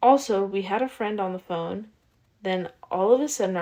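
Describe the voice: The pitch moves in an ordinary way as the text gets plain reading aloud.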